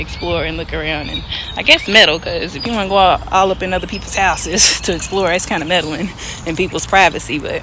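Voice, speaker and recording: Very fast speech from a woman, with noticeable background noise. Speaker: poet. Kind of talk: casual talk to camera. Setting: outdoors.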